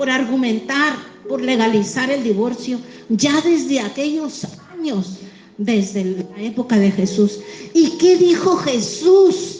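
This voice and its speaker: A woman with a Mexican accent speaks at a very slow pace, her pitch swinging very widely. Music plays in the background, and the room echo is audible. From Mexico. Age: 60s. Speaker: pastor. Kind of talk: sermon.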